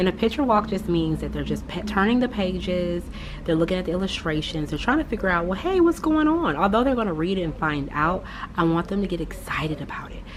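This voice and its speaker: Over noticeable background noise, a woman of medium pitch speaks at a fairly quick pace. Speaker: third grade teacher. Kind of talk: casual vlog.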